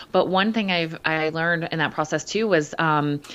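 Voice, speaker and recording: A woman with an ordinary speaking voice talks at a fairly low pitch with ordinary pitch variation. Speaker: podcast co-host, fitness and nutrition coach. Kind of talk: casual chat.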